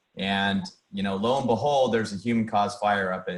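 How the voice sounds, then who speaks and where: Speaking with a fairly low pitch, this man keeps to a moderate pace. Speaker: council member, hydro facility manager. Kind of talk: meeting report. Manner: monotone.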